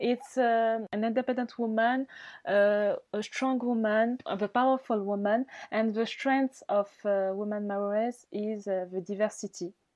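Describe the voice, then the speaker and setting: With a French accent, a woman speaks at a fairly slow pace in fairly even intonation. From Mayotte. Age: 20s. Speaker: beauty pageant winner. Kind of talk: interview. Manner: halting.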